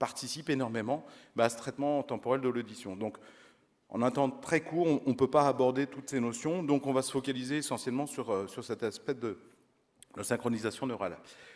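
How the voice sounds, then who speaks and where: Speaking with a slight Auvergne accent, a man keeps a medium pitch, ordinary pitch variation and a fairly quick pace. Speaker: audiology researcher. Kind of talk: conference lecture. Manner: hesitant, many fillers.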